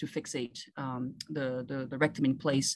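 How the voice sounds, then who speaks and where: A woman with a French accent speaks with fairly even intonation. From Ivory Coast. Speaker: surgeon. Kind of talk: interview.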